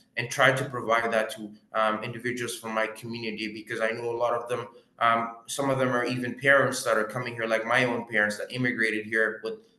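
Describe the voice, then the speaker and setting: A man in a Quebec accent at a medium pitch, fairly quick in pace, with monotone, flat intonation. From Quebec (Gatineau), partly West Africa. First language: French. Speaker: mortgage broker. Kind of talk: interview. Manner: hesitant, many fillers.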